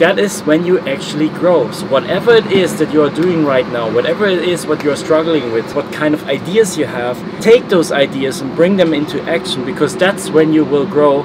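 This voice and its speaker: A man with a German accent speaks fairly quickly at a fairly high pitch, with ordinary pitch variation and hardly any pauses. Noticeable background noise can be heard. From Germany. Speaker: travel vlogger. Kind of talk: motivational vlog talk.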